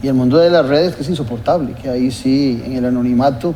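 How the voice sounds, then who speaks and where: Against noticeable background noise and audible room echo, a man with a medium pitch talks at a moderate pace. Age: 60s. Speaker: TV political talk show host. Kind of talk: TV interview.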